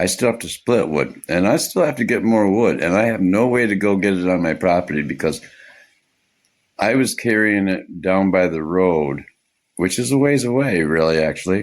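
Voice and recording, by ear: The intonation is lively. The pace is moderate. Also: man, low pitch for a man.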